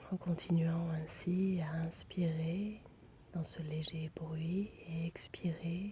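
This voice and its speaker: Soft-spoken and somewhat breathy, this woman has a fairly low pitch and a dark, mellow tone. She speaks with monotone, flat intonation. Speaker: meditation guide. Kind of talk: guided relaxation.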